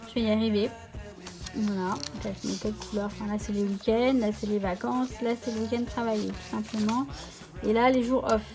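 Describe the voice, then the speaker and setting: A woman's fairly high voice at a moderate pace, ordinary pitch variation, music in the background. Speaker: planner YouTuber. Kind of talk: casual tutorial vlog. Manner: hesitant, many fillers.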